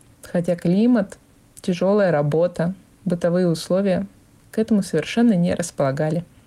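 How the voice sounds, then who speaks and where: A woman with a dark, mellow tone and fairly low pitch speaks at a moderate pace with ordinary pitch variation, very even loudness and long, frequent pauses. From Vorkuta, Komi Republic. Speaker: former resident sharing memories. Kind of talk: recorded personal reminiscence.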